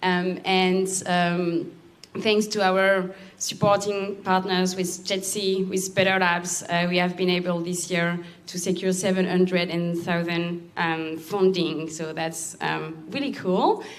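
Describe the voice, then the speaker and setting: Amid audible room echo, a woman with a French accent speaks at a very slow pace and medium pitch in a monotone, flat intonation. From France. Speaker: accelerator program lead. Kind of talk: presentation.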